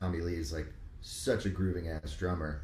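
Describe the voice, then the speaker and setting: A man with an American accent and a very deep, low pitch sounds somewhat breathy, with ordinary pitch variation and audible room echo. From New York, Rockland County suburbs. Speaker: musician. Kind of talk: casual chat.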